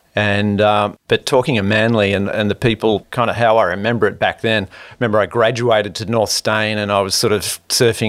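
A man's fairly low, monotone voice with flat intonation, at a fairly quick pace, on a very clean recording with a silent background. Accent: Australian. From Sydney, Australia. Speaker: podcast host. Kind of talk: casual interview. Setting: hotel room.

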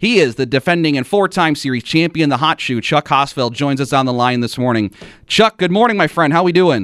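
With a plain, everyday voice, a man speaks at a fairly quick pace and a fairly high pitch with lively intonation, in a dry, close sound with no echo. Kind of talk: radio DJ patter: live sports-radio hosting, chatty race talk with call-in number reads.

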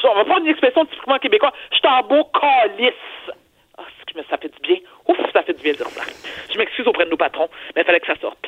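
Very fast, animated speech broken by long, frequent pauses. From Quebec. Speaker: TV personality and columnist. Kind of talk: commentary.

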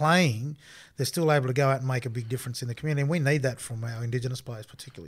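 A somewhat breathy man with an Australian accent on a very clean recording with a silent background. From Australia, Armidale, New South Wales. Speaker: former rugby league player. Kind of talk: interview.

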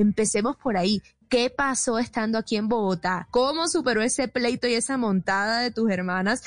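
At a moderate pace, the speaker uses lively intonation in a dry, close sound with no echo and a quiet background. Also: woman. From Colombian Caribbean coast, Barranquilla. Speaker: interviewer. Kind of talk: interview.

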